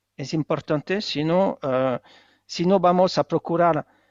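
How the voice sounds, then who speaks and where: Speaking at a fairly slow pace, a man has a high pitch and a non-native accent. His pitch variation is ordinary. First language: not Spanish (speaking Spanish). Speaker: economist and author. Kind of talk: book presentation interview. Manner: halting, many hesitations.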